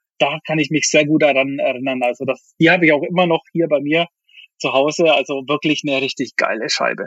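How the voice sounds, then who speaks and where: A man talks at a fairly quick pace and a fairly high pitch, with fairly even intonation. He has an unremarkable speaking voice. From Bavaria, Germany. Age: 30s. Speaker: music producer and DJ. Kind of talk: interview.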